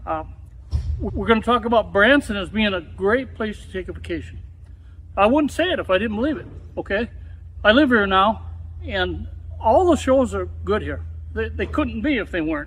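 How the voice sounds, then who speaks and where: Someone with an American accent talks at a moderate pace, with long, frequent pauses. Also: man. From Wisconsin, US Midwest. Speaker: talk show host. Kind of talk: casual interview chat.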